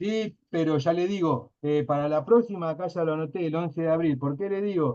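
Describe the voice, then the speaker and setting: A man speaks at a high pitch with a dark, mellow tone. His moderate pace has hardly any pauses, and his pitch varies in an ordinary way. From Río de la Plata (Uruguay/Argentina). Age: 40s. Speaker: workshop participant. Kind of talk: casual class discussion. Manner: hesitant, many fillers.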